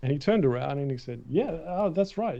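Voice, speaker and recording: This man has an Australian accent and a fairly high pitch, with lively intonation at a fairly quick pace. His tone is dark and mellow, and somewhat breathy. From Australia, Melbourne. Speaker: film concept artist. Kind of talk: interview. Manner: animated.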